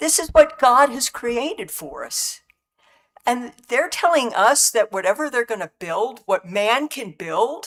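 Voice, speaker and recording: A woman's high voice at a fairly slow pace, very wide pitch swings and big swings in loudness, in dry, close sound with no echo. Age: 70s. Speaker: public commenter at county meeting. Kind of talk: public comment. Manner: halting.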